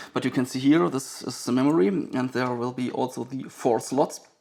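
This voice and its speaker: A man with a strong German accent speaks at a medium pitch. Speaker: vintage computer collector and video maker. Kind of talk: hands-on tutorial commentary. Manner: fast; halting, many fillers.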